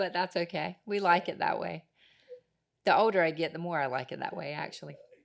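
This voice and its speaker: Fairly quick female speech with an American accent and vocal fry. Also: fairly low pitch for a woman, ordinary pitch variation. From Harkers Island, Down East North Carolina. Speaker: podcast host. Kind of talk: casual chat.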